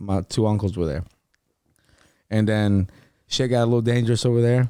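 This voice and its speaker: With a Spanish accent, a man speaks at a fairly quick pace in a dark, mellow tone, his pitch fairly low and his intonation fairly even, on a very clean recording with a silent background. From Louisiana, New Orleans area (Marrero). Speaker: podcast guest. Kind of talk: casual chat.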